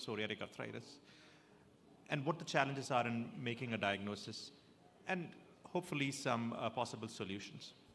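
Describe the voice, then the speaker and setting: A man with a Keralan accent and lively intonation. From South India. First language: Malayalam. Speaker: rheumatologist. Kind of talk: lecture. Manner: halting, many fillers.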